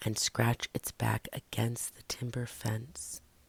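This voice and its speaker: Whispering at a fairly slow pace. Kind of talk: ASMR story reading. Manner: whispered.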